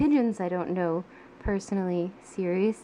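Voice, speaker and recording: Soft-spoken, the speaker talks at a fairly slow pace. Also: woman. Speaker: artist. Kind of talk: ASMR soft-spoken sketchbook tour.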